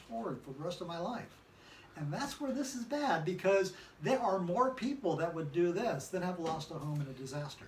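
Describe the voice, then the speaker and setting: Speech with an American accent moves at a fairly quick pace, the pitch swinging very widely. Audible room echo and noticeable background noise fill the recording. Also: man. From California. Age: 60s. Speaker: political commentary show host. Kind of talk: casual political discussion. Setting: filmed in a design and events venue.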